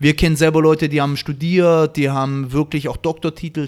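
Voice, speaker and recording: Here a man has an ordinary speaking voice. His pace is fairly quick and his intonation fairly even. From Baden-Württemberg, Stuttgart area. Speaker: breakdancer and event host. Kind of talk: casual chat.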